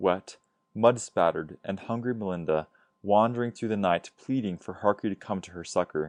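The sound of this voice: Against a quiet background, the speaker uses an unforced reading voice with ordinary pitch variation.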